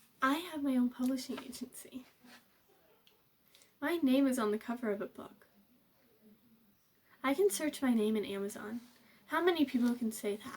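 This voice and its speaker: Pitched high, a woman speaks at a moderate pace with ordinary pitch variation, big swings in loudness, and long, frequent pauses. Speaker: author and youtuber. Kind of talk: casual vlog talk to camera.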